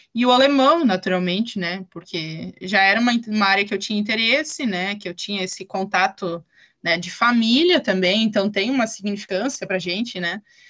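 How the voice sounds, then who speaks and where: A woman talks in a normal speaking voice at a medium pitch. Her pace is moderate, and her pitch variation is ordinary. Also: hardly any pauses. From southern Brazil, German-colonized town in Rio Grande do Sul. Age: 20s. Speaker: German teacher. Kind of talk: casual interview.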